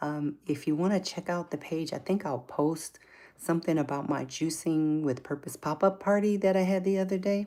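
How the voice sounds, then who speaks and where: In an American accent, a woman speaks at a moderate pace in a dark, mellow tone and fairly low pitch, with ordinary pitch variation, in a very clean recording with a silent background. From US Midwest, Milwaukee, Wisconsin. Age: 60s. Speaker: livestream host. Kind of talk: casual livestream chat.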